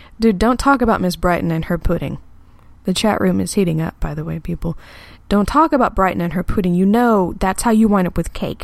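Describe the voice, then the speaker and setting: Very cleanly recorded with a silent background, a woman speaks in an animated tone at a medium pitch. She moves at a fairly quick pace with ordinary pitch variation. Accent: American. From Texas. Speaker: sex educator and online radio host. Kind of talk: casual live talk show reading chat. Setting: live internet radio broadcast. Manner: animated, frequent laughter.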